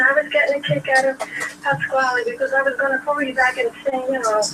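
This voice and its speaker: A woman projects a raised voice at a high pitch and a fairly quick pace. Her pitch varies in an ordinary way, with noticeable background noise. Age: 70s. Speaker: caller. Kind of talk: casual chat.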